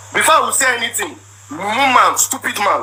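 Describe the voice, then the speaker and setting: Noticeable background noise beneath a man's raised, projected voice. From Nigeria, Igbo. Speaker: husband telling his side of a marital dispute. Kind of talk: emotional personal account, livestream. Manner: repetitive, emphatic.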